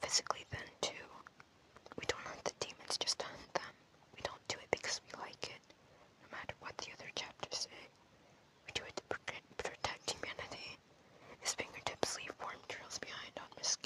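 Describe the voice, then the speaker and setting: Whispering at a moderate pace comes with long, frequent pauses amid noticeable background noise. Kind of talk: audiobook reading of a novel, whispered ASMR. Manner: whispered.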